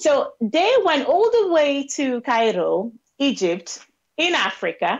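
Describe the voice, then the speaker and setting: Over a quiet background, a woman with a Nigerian accent speaks at a very slow pace and very even loudness. Her high voice moves through very wide pitch swings. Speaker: pro-life advocate; guest. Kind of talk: interview. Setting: video call. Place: home room. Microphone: earbuds.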